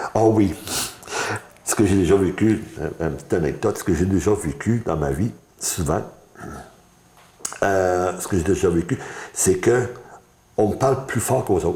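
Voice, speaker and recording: At a moderate pace, a man with a fairly low pitch and a dark, mellow, somewhat breathy tone speaks with long, frequent pauses. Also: ordinary pitch variation. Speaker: blind interviewee giving testimony. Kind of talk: interview testimony. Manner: halting, repetitive stammering.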